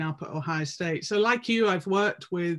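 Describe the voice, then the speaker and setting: A woman with an English accent talks at a moderate pace on a very clean recording with a silent background. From England. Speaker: professor of physical education. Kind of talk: casual academic conversation.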